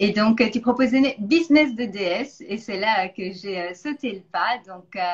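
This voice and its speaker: The speech moves at a fairly slow pace with lively intonation. Loudness swings widely. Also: woman, fairly high pitch for a woman. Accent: slight Belgian. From Belgium. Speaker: nutrition coach, interview host. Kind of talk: interview.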